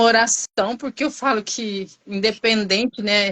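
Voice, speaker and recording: This voice belongs to a woman. Her intonation is fairly even. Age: 40s. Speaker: nursing technician and vaccinator. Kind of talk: interview testimony.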